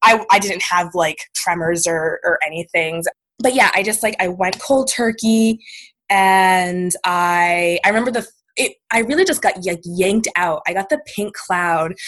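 A woman with an American accent has an unremarkable speaking voice at a medium pitch. She talks at a fairly slow pace. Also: ordinary pitch variation. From Maine, US. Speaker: writer and sobriety advocate. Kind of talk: casual interview.

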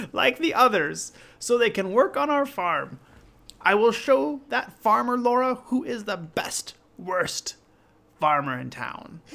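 A put-on character voice, raised and projected, cackles at a fairly high pitch. It moves at a fairly slow pace. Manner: wicked, cackling.

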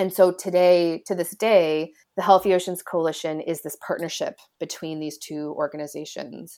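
A woman with an American accent and an ordinary speaking voice speaks at a moderate pace in a fairly low pitch, her intonation fairly even, her loudness swinging widely, hardly pausing, on a very clean recording with a silent background. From US Midwest, Illinois. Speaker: ocean policy lawyer. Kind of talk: interview.

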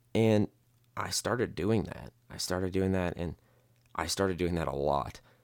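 A man's very deep, low voice with an American accent and ordinary pitch variation. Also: moderate pace. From US Midwest. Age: 20s. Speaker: podcaster with borderline personality disorder. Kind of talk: personal monologue. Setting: solo podcast recording. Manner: halting, with fillers and repetitions.

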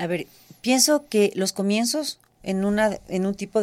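Here is a woman with a plain, everyday voice, recorded very cleanly against a silent background. She keeps a moderate pace and ordinary pitch variation. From Ecuador. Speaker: shoe designer. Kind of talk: interview. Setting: studio.

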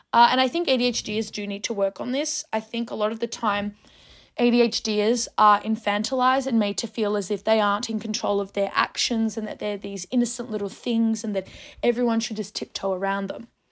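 Recorded very cleanly with a silent background, a woman with an Australian accent speaks fairly quickly at a fairly high pitch with fairly even intonation. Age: 20s. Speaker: podcast host. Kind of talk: casual monologue.

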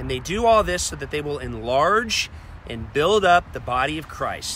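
Noticeable noise sits in the background, and the room gives an audible echo. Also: man. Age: 40s. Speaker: pastor. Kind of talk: sermon.

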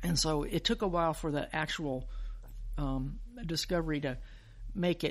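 A woman with an American accent speaks in a plain, everyday voice, fairly low in pitch, with lively intonation. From US South, Alabama (Huntsville). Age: 60s. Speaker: physician and science podcast host. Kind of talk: interview. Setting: remote call.

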